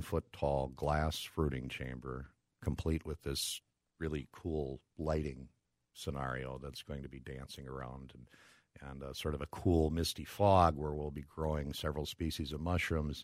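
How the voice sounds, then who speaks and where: A man with an Upper Midwest accent speaks at a moderate pace in a very deep, low voice, his loudness swinging widely. The recording is very clean, with a silent background. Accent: Upper Midwest American. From Minnesota (Brooklyn Park, Minneapolis suburb). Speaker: mushroom forager and food entrepreneur. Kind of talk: casual interview.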